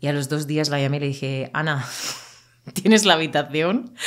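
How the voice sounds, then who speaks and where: The woman's pitch is very deep and low, and her pace is moderate. The background is quiet. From Murcia, southern Spain; Spain. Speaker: Spanish teacher. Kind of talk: casual interview for language learners. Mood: animated storytelling. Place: home room. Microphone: studio mic.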